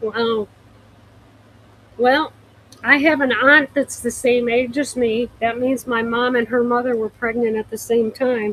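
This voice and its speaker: Her voice high in pitch, a woman speaks at a fairly slow pace in a monotone, flat intonation with long, frequent pauses. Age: 70s. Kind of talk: live-stream sales chat. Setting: home livestream.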